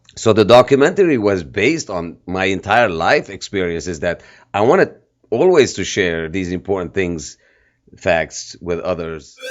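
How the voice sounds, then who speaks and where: The speaker talks at a moderate pace with lively intonation and a slight Armenian accent. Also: man, very deep, low pitch for a man. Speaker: filmmaker and activist. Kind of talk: interview.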